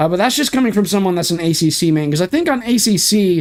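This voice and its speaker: A man speaks with lively intonation in a very clean recording with a silent background. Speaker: sim racing streamer. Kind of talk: live stream gameplay commentary. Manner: fast.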